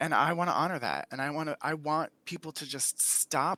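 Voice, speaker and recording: The sound is dry and close, with no echo. A man speaks in a fairly high voice with a bright, sharp tone. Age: 40s. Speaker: panel guest in LGBTQ discussion. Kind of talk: casual discussion. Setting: live stream video call. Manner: animated.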